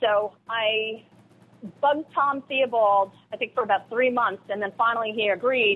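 A woman with an American accent speaks in a normal speaking voice at a fairly high pitch. Her pace is moderate and her intonation fairly even. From New York, Long Island. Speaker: environmental advocate and radio producer. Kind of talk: interview.

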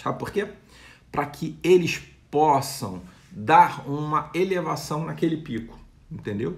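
Speaking very slowly with a Brazilian accent, a man with a fairly high pitch and vocal fry lets his pitch swing very widely. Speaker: retail consultant, video creator. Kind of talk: tutorial-style business advice; around 2:25 he mimics a supermarket loudspeaker announcer. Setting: video channel, direct to camera. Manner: animated, pitchman-like, punchy, brisk sales-patter delivery when doing the announcer bit; informal, explanatory, with hesitations and repeated words. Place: home room. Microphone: phone near.

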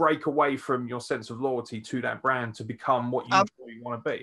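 A man with a British accent against a quiet background. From England. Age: 30s. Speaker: podcast host and wrestler; podcast host. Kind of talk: podcast interview. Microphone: video call.

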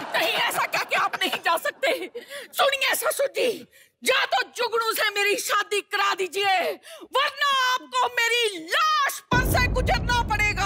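A woman's raised, projected voice at a very slow pace, with music in the background. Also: lively intonation. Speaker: comedic actress in sketch. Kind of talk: comic theatrical dialogue. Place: stage. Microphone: headset.

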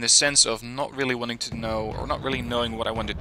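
Noticeable background noise runs throughout. A man is talking over it. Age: 20s. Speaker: gaming YouTuber. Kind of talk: casual vlog monologue. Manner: hesitant, many fillers.

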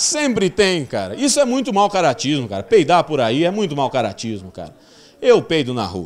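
A man talks at a moderate pace with a fairly high pitch. His tone is animated and his pitch swings very widely. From Cuiabá, Brazil. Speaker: stand-up comedian. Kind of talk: stand-up comedy. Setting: stage with audience. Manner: animated, raunchy, punchy delivery; acts out characters with exaggerated voices. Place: stage. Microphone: handheld.

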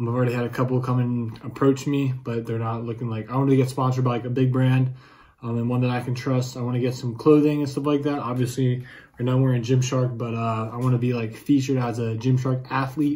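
A man rattles along at a very fast pace in a monotone, flat delivery. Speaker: fitness vlogger. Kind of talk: casual vlog chat. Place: home room. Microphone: phone near.

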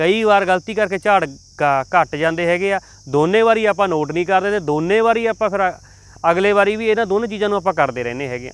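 A man speaks at a high pitch with ordinary pitch variation, his sound dry with no echo. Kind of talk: advice talk to camera. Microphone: lapel.

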